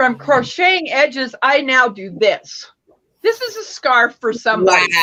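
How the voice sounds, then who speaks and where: A woman projects a raised, high-pitched voice with a bright, sharp tone. Her pitch swings very widely at a moderate pace. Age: 60s. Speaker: crochet crafter. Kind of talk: casual chat; tutorial. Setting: live stream.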